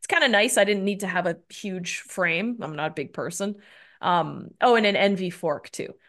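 A woman's normal speaking voice in a Canadian accent, medium in pitch, at a moderate pace with ordinary pitch variation and big swings in loudness over a quiet background. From Canada. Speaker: endurance cyclist. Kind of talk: casual interview.

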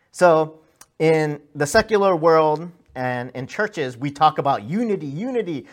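In a plain, everyday voice, a man with an American accent speaks at a fairly high pitch and fairly slow pace. His intonation is lively, and the recording is very clean with a silent background. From US, second-generation Korean American. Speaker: pastor. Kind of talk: sermon. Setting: church.

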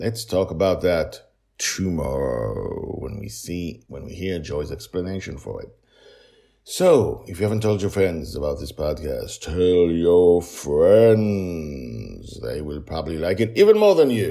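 Low-pitched with vocal fry and a dark, mellow tone, a man speaks at a fairly slow pace with big pitch swings.

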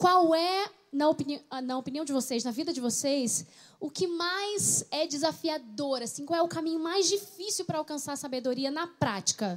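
This woman's voice sits high, with lively intonation. She keeps a moderate pace. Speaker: pastor. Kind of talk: panel chat.

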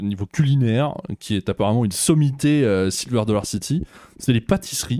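A man speaks at a moderate pace and medium pitch with a dark, mellow tone and very wide pitch swings. The sound is dry and close with no echo. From France. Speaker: theme park youtuber. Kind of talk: casual chat.

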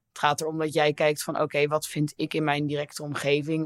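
A very clean recording with a silent background, at a fairly quick pace. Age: 20s. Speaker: intern. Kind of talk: casual chat.

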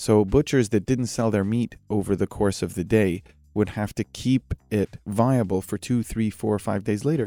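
Over music in the background, a man with a fairly low pitch speaks at a moderate pace with fairly even intonation, the sound dry and close with no echo. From Middle East, Egyptian raised in Gulf states and Canada. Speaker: barbecue chef and restaurant founder. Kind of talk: casual interview chat.

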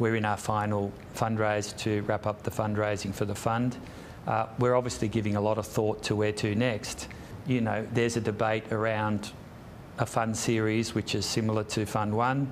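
A man speaks at a moderate pace in an Australian accent. His intonation is monotone and flat, and his loudness stays very even. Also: fairly low pitch for a man. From Sydney, Australia. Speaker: property investment executive. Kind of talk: interview. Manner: hesitant, many fillers.

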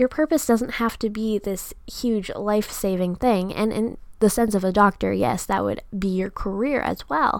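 A woman's unremarkable speaking voice at medium pitch, with ordinary pitch variation, a moderate pace and hardly any pauses. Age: 20s. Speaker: podcast host and student entrepreneur. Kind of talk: solo podcast monologue.

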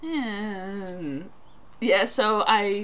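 In a Northern Irish accent, a woman speaks with a bright, sharp tone and ordinary pitch variation. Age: 20s. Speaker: podcast co-host. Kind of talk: casual chat.

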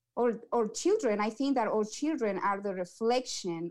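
A woman's fairly high voice with an Ecuadorian accent. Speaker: community outreach coordinator. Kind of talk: interview. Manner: halting.

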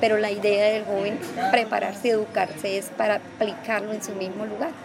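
There is noticeable background noise as the woman talks fairly fast in a fairly high voice. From Colombia, Norte de Santander (Cúcuta area). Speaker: community leader and stylist. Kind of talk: interview testimony.

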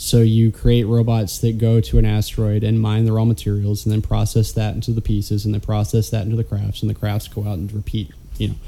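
A man's somewhat breathy, fairly low-pitched voice at a very fast pace, with fairly even intonation and hardly any pauses. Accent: American. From Alabama. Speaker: podcast co-host. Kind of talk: casual chat.

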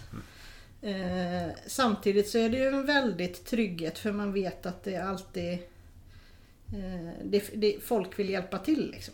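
A woman with a normal speaking voice talks at medium pitch and a fairly slow pace. Her pitch varies in an ordinary way, and her loudness swings widely. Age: 40s. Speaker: occupational therapist. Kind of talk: casual interview.

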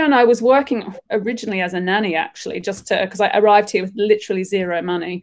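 A woman with an Australian accent, a fairly high pitch and a very fast pace. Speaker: artist and creative director. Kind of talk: casual interview. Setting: video call from her studio.

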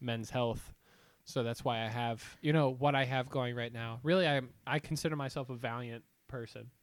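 Speaking with an Ohio accent, a man uses a medium pitch and fairly even intonation at a moderate pace. The recording is very clean, with a silent background. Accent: Midwestern American (Ohio). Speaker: podcast co-host. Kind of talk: casual chat.

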